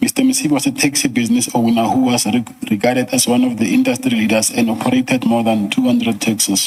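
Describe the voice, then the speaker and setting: Over noticeable background noise, a man talks at a very fast pace with hardly any pauses and very even loudness. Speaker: witness at a commission of inquiry. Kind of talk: reading a statement into the record. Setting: inquiry hearing room. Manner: soft-spoken. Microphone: too quiet, far from the mic.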